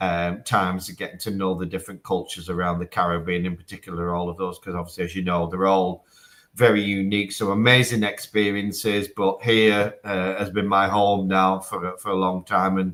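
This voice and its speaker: A fairly quick, flat, monotone delivery in a northwest English accent, with hardly any pauses. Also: man, very deep, low pitch for a man. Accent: broad northwest English. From northern England, Manchester. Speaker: telecom executive. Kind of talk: live interview. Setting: video link from office. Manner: hesitant with fillers.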